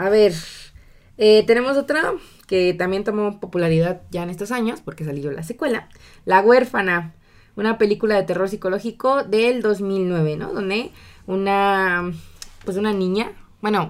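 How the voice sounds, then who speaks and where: Speaking at a fairly slow pace, a woman keeps a medium pitch with ordinary pitch variation while her loudness swings widely. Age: 20s. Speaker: podcast co-host. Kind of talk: casual chat.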